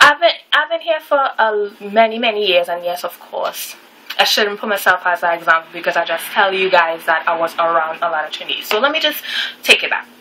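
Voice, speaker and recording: Over noticeable background noise, a woman talks at a fairly quick pace with a medium pitch and very wide pitch swings. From Trinidad. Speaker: vlogger. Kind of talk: casual vlog talk to camera. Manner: casual, conversational with fillers.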